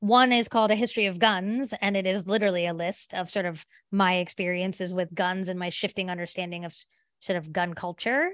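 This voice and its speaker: With an American accent and a normal speaking voice, a woman speaks at a medium pitch and a fairly quick pace, her intonation fairly even against a quiet background. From southern West Virginia. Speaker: author and teacher. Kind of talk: interview.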